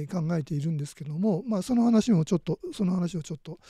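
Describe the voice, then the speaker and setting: In a very clean recording with a silent background, a man speaks at a high pitch with a dark, mellow tone and a dry, close sound with no echo. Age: 60s. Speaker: art critic and scholar. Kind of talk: lecture. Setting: live stream from home. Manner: halting.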